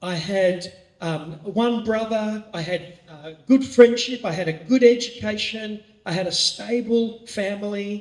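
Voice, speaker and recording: A man's high voice in an Australian accent, at a fairly slow pace with fairly even intonation. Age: 60s. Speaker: pastor. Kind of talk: training talk.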